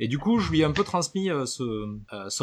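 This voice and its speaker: A man speaks in a southern French accent. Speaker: podcast columnist. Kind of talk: casual chat.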